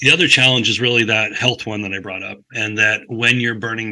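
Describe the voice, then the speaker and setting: A bright, sharp voice with an American accent speaks in a flat monotone on a very clean recording with a silent background. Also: man. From Northern California, Humboldt County. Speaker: climate nonprofit director. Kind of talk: interview.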